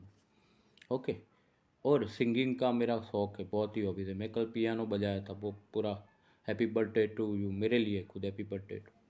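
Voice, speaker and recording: With a Gujarati accent, a man speaks in a fairly low, dark, mellow voice. His intonation is monotone and flat, and his loudness swings widely. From India, Gujarat (Ahmedabad). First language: Gujarati (speaking Hindi). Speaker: journalist and astrologer. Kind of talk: casual vlog monologue. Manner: unscripted, rambling.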